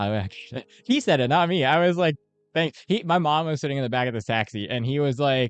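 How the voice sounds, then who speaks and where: Over a quiet background, a man speaks at a very fast pace with lively intonation. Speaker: medical student streamer. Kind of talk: casual chat with live chat. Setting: live study stream.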